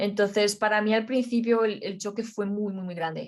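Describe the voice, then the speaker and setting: A woman talks in a Romanian accent at medium pitch. Her intonation is monotone and flat. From Romania, then Madrid, Spain from age 11. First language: Romanian (speaking Spanish). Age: young. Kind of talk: interview. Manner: halting.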